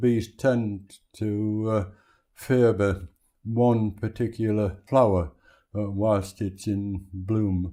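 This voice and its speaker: In a dark, mellow tone, a man talks at a very slow pace with fairly even intonation. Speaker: beekeeper. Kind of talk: oral history interview answer. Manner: hesitant, conversational.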